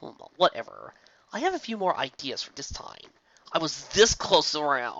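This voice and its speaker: A high-pitched, put-on character voice from a man, moving at a moderate pace. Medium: read story. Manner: sardonic, playful.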